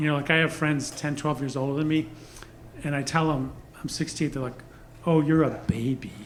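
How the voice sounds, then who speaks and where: Talking at a fairly quick pace yet with long, frequent pauses, a man with a fairly high pitch keeps a monotone, flat intonation over audible room echo. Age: 60s. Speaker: stand-up comedian. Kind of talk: stand-up. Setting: stage with audience.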